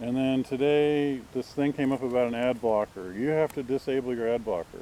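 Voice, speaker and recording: A man speaks at medium pitch with ordinary pitch variation and a dark, mellow tone. He has an American accent and a fairly slow pace. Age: 60s. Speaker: vlogger. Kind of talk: casual monologue. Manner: rambling, halting.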